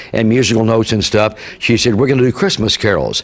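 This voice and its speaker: A man's medium-pitched voice, fairly even in intonation, moves at a fairly quick pace through noticeable background noise. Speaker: radio disc jockey, show host. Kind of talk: interview answer, storytelling.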